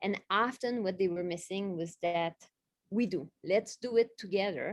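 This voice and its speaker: The recording is dry and close, with no echo. A woman at a medium pitch speaks at a fairly slow pace with ordinary pitch variation. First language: not English. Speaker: literacy specialist, former teacher. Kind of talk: panel discussion.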